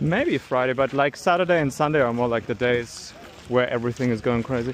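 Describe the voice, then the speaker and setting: With noticeable background noise behind him, a man speaks at medium pitch and a fairly quick pace with ordinary pitch variation. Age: 20s. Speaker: dating coach. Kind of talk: casual chat.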